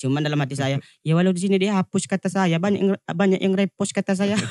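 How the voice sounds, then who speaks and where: A strong Lampung accent in a dry, close sound with no echo. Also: man. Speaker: TikTok comedian. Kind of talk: casual chat.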